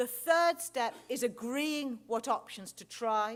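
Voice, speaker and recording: In an English accent, a woman speaks at a high pitch. Her pitch varies in an ordinary way. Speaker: clinical researcher. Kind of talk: conference lecture. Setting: stage with large audience. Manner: fast.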